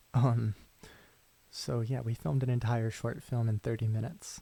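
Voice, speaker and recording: This soft-spoken man has a medium-pitched, somewhat breathy voice with a dark, mellow, relaxed tone and ordinary pitch variation. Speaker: ASMR creator and film student/director. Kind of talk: casual talk to camera, soft-spoken ramble. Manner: soft-spoken, relaxed.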